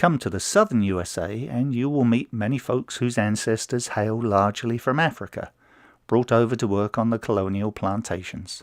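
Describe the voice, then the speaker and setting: Here is a man at a medium pitch with ordinary pitch variation. His pace is moderate. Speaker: blogger and author. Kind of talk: devotional blog reading.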